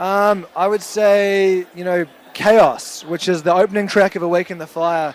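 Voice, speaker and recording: High pitch for a man with a New Zealand accent, fairly even intonation, a fairly slow pace and noticeable background noise. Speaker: rock band member. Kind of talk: interview.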